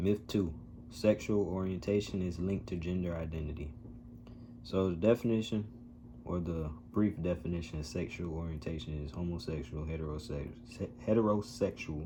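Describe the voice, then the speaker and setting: A man speaks with a very deep, low pitch. His voice is somewhat breathy, with a dark, mellow tone. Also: ordinary pitch variation, moderate pace. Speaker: vlogger sharing transition journey. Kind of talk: casual vlog monologue.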